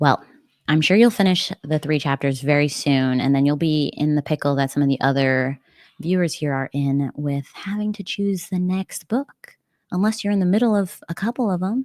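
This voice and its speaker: With lively intonation and a moderate pace, the voice comes across dry and close, with no echo. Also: woman, very deep, low pitch for a woman. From United States. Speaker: book streamer. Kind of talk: casual chat. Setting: livestream at home. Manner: casual, filler-heavy.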